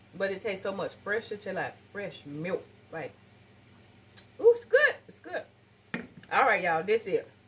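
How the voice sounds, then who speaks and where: A woman speaks with long, frequent pauses and big swings in loudness. Noticeable background noise sits behind her. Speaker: cooking channel host. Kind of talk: cooking tutorial. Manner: fast; animated.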